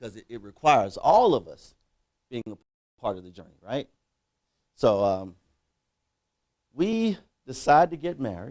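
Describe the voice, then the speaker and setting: Speaking in an American accent at a medium pitch, a man takes a fairly slow pace with long, frequent pauses, very wide pitch swings, and big swings in loudness. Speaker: keynote speaker. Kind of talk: motivational speech.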